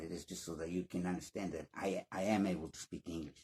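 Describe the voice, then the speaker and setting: A man speaks at a fairly quick pace. He has a slight Spanish accent. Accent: slight Spanish accent, near-native English. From Spanish-speaking country. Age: 50s. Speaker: English learning YouTuber. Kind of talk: casual vlog monologue. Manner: halting, many repetitions and restarts.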